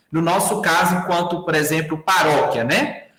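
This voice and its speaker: A high-pitched male voice at a moderate pace, with audible room echo over a quiet background. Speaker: workshop instructor. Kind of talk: online tutorial. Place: home room.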